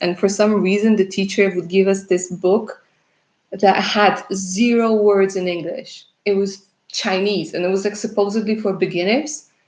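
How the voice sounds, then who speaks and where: A woman speaks at a moderate pace with a Russian accent. Her pitch sits in the medium range. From Russia, left at age eleven. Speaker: tarot reader. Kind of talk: live stream chat with viewers. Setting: live stream. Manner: casual, chatty.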